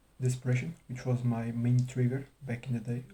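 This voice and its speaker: A man with a non-native accent, medium pitch and a dark, mellow tone, somewhat breathy, monotone and flat in intonation at a moderate pace. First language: not English. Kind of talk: casual talk to camera. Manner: hesitant, stuttering, long pauses.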